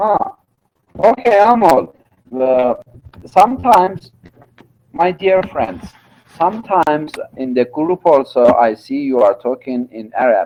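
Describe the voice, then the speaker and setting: A man speaks with a Turkish accent. His pitch swings very widely. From Iran, Turkish-speaking region. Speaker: university lecturer. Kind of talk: lecture. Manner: halting, many fillers.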